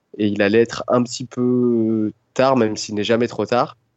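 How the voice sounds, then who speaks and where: A man of medium pitch is speaking here. He goes at a very slow pace. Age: 30s. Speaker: roller-skate traveller. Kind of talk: interview.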